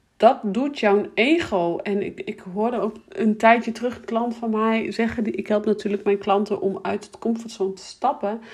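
A woman's medium-pitched voice with a slightly mellow tone and fairly even intonation at a moderate pace

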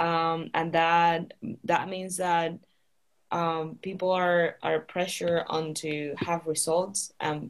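With a Spanish accent, a woman speaks. Her voice sits fairly low in pitch. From Spain, Canary Islands. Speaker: graduate student. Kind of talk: interview.

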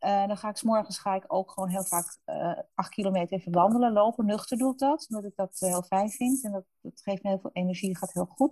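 A woman speaks at a fairly quick pace with hardly any pauses, her medium-pitched voice dark, mellow and somewhat breathy, with ordinary pitch variation, in a dry, close sound with no echo. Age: 50s. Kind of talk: interview. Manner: halting.

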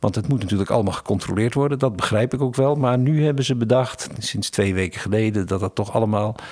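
A man holds a medium pitch with ordinary pitch variation, talking at a fairly quick pace. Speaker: podcast host. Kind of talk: casual chat. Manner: halting.

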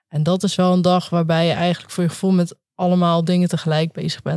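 Flat, monotone intonation marks a woman's fairly low voice with a dark, mellow tone. She moves at a fairly quick pace. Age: 30s. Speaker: consultant. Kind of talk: casual interview chat.

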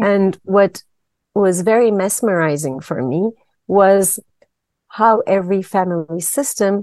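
Fairly slow and dark, mellow in tone, a woman with a Turkish accent is heard in a dry, close sound with no echo. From Turkey. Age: 50s. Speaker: systemic therapist. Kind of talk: interview. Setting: video call.

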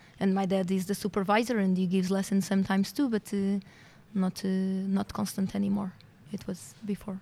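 In a Portuguese accent, a woman speaks in a dark, mellow, somewhat breathy tone with monotone, flat intonation. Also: medium pitch for a woman. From Portugal. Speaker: veterinarian. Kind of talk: interview.

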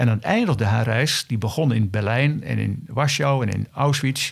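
A man talks in a normal speaking voice, with ordinary pitch variation, a medium pitch and a moderate pace. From Elburg, Gelderland, Netherlands. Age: 60s. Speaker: local historian and retired teacher. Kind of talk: interview.

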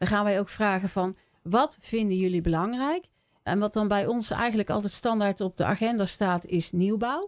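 In a very clean recording with a silent background, a woman with a plain, everyday voice speaks at a medium pitch and moderate pace, with ordinary pitch variation and very even loudness. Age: 50s. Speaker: village council member. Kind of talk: interview.

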